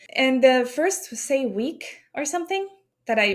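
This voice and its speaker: The speaker is a woman with a high pitch. Her intonation is lively. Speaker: podcast guest telling ghost stories. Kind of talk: casual podcast conversation.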